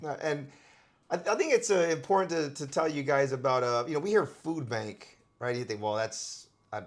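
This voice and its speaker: A man with an ordinary speaking voice and a fairly high pitch talks at a moderate pace, his intonation lively. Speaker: channel host. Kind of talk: casual talk to camera.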